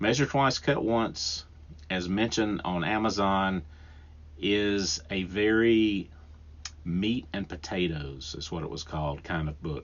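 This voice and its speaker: With a strong Southern US accent, a man speaks very deep and low at a fairly slow pace, with ordinary pitch variation. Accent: thick Southern US. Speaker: podcast host and woodworker. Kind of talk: solo podcast talk. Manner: casual, with frequent restarts and fillers.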